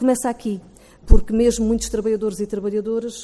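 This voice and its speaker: An ordinary speaking voice at a fairly quick pace. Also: woman. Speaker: trade union representative. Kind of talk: formal panel presentation.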